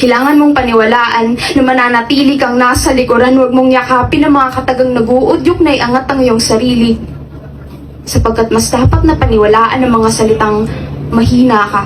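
A woman talks at a fairly quick pace in a high voice, her loudness very even and her intonation fairly even. Noticeable background noise runs underneath. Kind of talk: reverse spoken word poetry. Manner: defiant, rising emotion that turns hopeful in the reversed lines.

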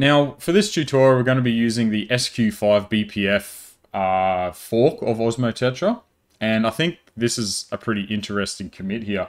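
In a quiet background, a man talks at a moderate tempo. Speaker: tech tutorial maker. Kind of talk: tutorial. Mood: upbeat, casual. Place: home room.

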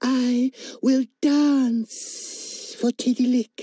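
A female-sounding, high voice is put on as a character. It hisses. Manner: coaxing.

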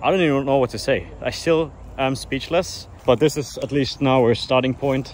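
Against light background noise and a dry sound with no echo, a man with a German accent talks at a fairly quick pace. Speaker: car YouTuber. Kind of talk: casual vlog narration. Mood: disappointed, resigned. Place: open country. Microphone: phone near.

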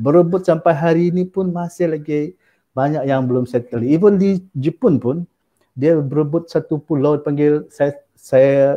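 In a quiet setting, a man with an unremarkable speaking voice and a fairly high pitch talks at a moderate pace with ordinary pitch variation. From Sabah, Malaysia. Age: 40s. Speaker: university lecturer. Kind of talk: interview about his book. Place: home room. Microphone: video call.

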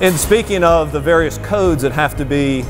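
A man speaks at a fairly quick pace. Faint music plays in the background. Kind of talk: guided tour explanation. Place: factory.

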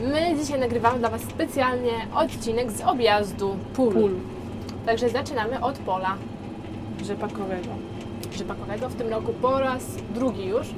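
Loud background noise sits under speech at a moderate pace with ordinary pitch variation and long, frequent pauses. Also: woman. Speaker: farm vlogger. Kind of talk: casual vlog chat. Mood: playful, laughing. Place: farm machine. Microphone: lapel.

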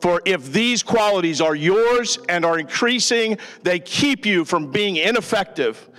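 A man at a fairly slow pace, with faint music in the background. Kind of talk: scripture reading and prayer. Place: church. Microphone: handheld.

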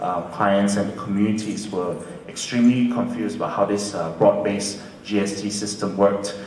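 Over light background noise and audible room echo, a man speaks at a moderate pace with a fairly low pitch and fairly even intonation. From UK. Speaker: lawyer. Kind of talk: panel discussion. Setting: stage with audience. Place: hall.

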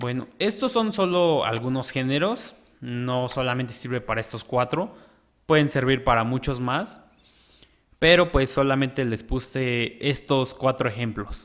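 A man with a plain, everyday voice speaks at a fairly slow pace, with medium pitch and ordinary pitch variation. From Mexico. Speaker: music producer. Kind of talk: tutorial. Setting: home studio. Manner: casual.

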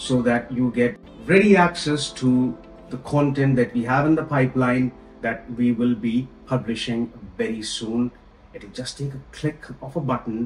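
A man talks with ordinary pitch variation and big swings in loudness. Audible room echo surrounds him, and faint music plays in the background. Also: moderate pace. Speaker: travel vlogger. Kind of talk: casual vlog chat. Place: home room.

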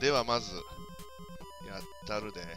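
Over music in the background, a man with a Kansai accent speaks with lively intonation. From Kansai, Japan. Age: middle-aged. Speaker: gaming commentator. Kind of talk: let's play game commentary. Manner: excitable, chatty.

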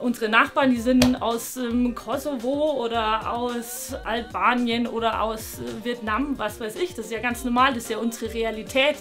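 Clear music plays in the background. A woman talks at a moderate pace. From Bavarian Swabia, Germany. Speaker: traditional costume designer. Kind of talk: interview answer. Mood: opinionated, lively, some hesitations. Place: workshop.

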